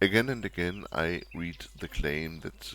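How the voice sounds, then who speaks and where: A man talks at a fairly slow pace in a bright, sharp tone with vocal fry. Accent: non-native. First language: not English. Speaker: video game tutorial youtuber. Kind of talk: tutorial. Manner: formal.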